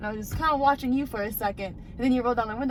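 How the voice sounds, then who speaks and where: An animated woman with ordinary pitch variation, amid noticeable background noise and audible room echo. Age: 20s. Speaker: vlogger. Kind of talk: casual chat. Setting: outdoors.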